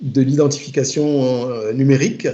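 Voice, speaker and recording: At a very slow pace, a man speaks in a dark, mellow tone with fairly even intonation. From Togo. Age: 50s. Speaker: IT project manager. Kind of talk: interview. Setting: remote work from home. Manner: halting.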